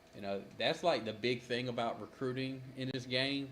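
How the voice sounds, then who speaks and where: A man's moderate-paced speech, with ordinary pitch variation, carries over noticeable background noise. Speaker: gaming streamer. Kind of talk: gameplay commentary.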